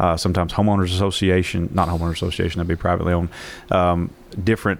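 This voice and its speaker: A man talks at a very fast pace with a Southern US accent. His pitch is very deep and low. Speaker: police captain. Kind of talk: radio interview. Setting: studio.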